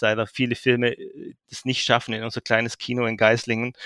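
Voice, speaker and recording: Recorded with a dry, close sound with no echo, a man at a medium pitch speaks in a bright, sharp tone at a fairly quick pace. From Swabian Jura, Baden-Württemberg (Heidenheim). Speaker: trade magazine editor-in-chief. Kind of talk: interview.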